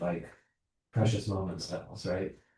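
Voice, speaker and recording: A dark, mellow tone and ordinary pitch variation shape this man's somewhat breathy voice. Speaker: pastor leading adult class. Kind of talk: adult Bible class discussion. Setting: church classroom, video recorded. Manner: fast; casual.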